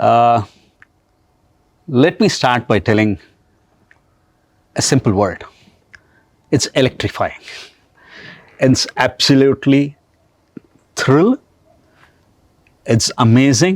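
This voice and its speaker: A man speaks at a very slow pace with lively intonation and very even loudness, leaving long, frequent pauses. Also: medium pitch for a man. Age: 60s. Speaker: business executive and motorcyclist. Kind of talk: podcast interview.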